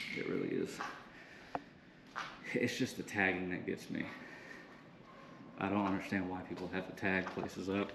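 Fairly low-pitched man at a moderate pace amid noticeable background noise. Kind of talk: casual vlog commentary. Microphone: phone near.

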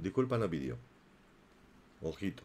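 The voice belongs to a man. It sits very deep and low. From inland Spain. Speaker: YouTube gossip commentator. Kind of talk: live stream chat and commentary. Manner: animated. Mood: indignant in places.

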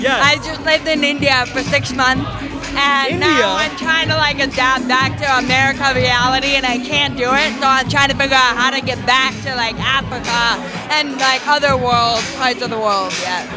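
Clear music plays behind a woman who talks at a moderate pace with ordinary pitch variation. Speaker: interviewee. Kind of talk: interview answer. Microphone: handheld.

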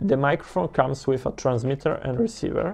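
A man speaks with ordinary pitch variation. Faint music plays in the background. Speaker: saxophonist reviewing gear. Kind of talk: product review talk to camera. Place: home room.

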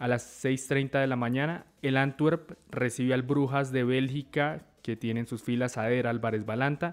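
This man has an ordinary speaking voice at a medium pitch, with fairly even intonation. He talks at a fairly slow pace with hardly any pauses. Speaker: sports journalist. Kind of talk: sports panel discussion.

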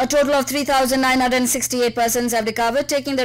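Against a quiet background, a woman rattles along at a very fast pace in a high pitch with fairly even intonation. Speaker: radio news reader. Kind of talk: radio news bulletin. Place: studio.

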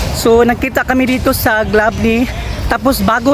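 Music plays in the background while a woman talks at a moderate pace. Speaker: vlogger. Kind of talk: casual vlog and street interview.

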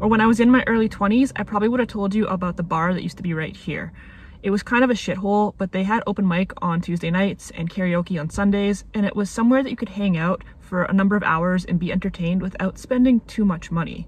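A woman speaks very fast, her pitch varying in an ordinary way. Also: hardly any pauses, dry sound with no echo. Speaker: video essayist vlogger. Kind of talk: casual vlog chat. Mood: nostalgic, wry. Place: car. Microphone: phone near.

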